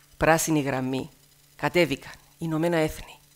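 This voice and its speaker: This woman speaks with a very deep, low pitch. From Cyprus, Athienou; Cyprus. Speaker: TV news presenter. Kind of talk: speech to students. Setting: stage with audience. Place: hall. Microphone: headset.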